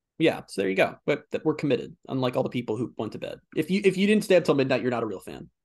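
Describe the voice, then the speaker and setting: Against a quiet background, a man talks at a very fast pace with hardly any pauses in an animated tone, his fairly high voice showing vocal fry. His pitch swings very widely, and his loudness shifts a great deal. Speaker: sports podcast host. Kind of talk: casual sports chat. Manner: animated, fast back-and-forth.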